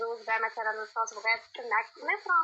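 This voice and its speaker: Noticeable background noise sits behind a woman who talks very fast with lively intonation. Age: 20s. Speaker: insurance worker, marriage candidate. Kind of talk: matchmaking conversation.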